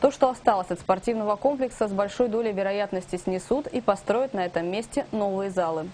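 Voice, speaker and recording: At a fairly quick pace, a woman talks in an unremarkable speaking voice with medium pitch and ordinary pitch variation. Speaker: news presenter. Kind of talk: news reading.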